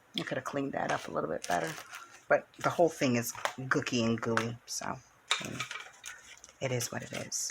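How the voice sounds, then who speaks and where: Very wide pitch swings run through fairly quick speech broken by long, frequent pauses, with noticeable background noise behind it. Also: woman, very deep, low pitch for a woman. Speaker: craft channel host. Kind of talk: craft tutorial. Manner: casual, chatty.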